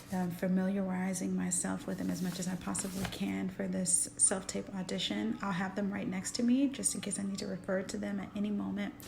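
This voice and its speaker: A woman talks at a fairly quick pace. She barely pauses, and noticeable background noise is present. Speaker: actress. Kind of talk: casual vlog talk to camera. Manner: upbeat, energetic.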